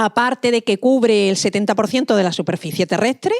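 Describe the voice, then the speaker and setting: A woman's fairly quick speech in an Andalusian accent, dry and close with no echo, in a very clean recording with a silent background. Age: 50s. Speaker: marine scientist. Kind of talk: lecture.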